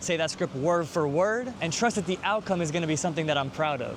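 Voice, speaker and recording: A man speaks in an animated tone with a New York accent. His pitch is high and his pace fairly quick. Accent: New York American English. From New York City. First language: Hebrew. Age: 20s. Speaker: yoga teacher and vlogger. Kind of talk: vlog talk to camera.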